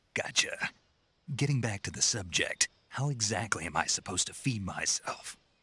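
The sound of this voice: Using a put-on character voice, a man speaks at a fairly low pitch with a bright, sharp tone, a husky, rough edge and lively intonation. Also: moderate pace.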